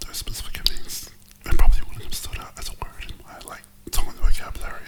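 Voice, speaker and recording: Very fast speech with noticeable background noise. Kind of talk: casual conversation.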